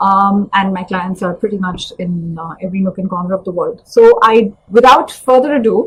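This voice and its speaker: At a moderate pace with hardly any pauses, a woman with a somewhat breathy, medium-pitched voice speaks with ordinary pitch variation and big swings in loudness. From India, New Delhi. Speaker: career coach. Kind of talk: live webinar talk.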